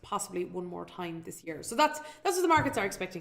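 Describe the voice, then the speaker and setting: A woman speaks with an Irish accent. Her pitch sits in the medium range. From Ireland. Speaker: financial educator and show host. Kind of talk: live webinar presentation. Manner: fast.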